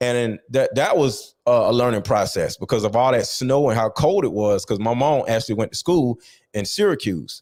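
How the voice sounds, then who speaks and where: A man speaks in an animated tone with a Philadelphia accent, keeping a moderate pace and very even loudness on a very clean recording with a silent background. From Philadelphia, US. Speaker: author interviewed about his life. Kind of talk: interview.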